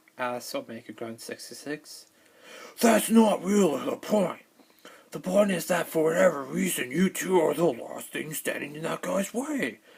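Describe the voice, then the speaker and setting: Through noticeable background noise, a man with a high pitch speaks at a moderate pace with very wide pitch swings. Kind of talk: dramatic reading of a written story post, narration with character lines. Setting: recorded on camera at home. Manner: dramatic, with some stuttering and restarts.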